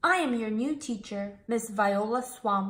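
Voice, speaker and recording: Putting on a character voice, a woman speaks fairly slowly at a fairly high pitch with ordinary pitch variation, and hissing can be heard. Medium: read story. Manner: snapping, commanding.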